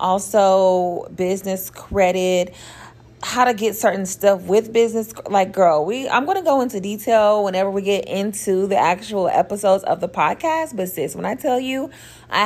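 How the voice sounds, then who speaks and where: The woman has an American accent and ordinary pitch variation. She speaks at a moderate pace. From Oklahoma. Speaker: podcast host and hair business owner. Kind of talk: casual solo podcast intro. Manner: animated.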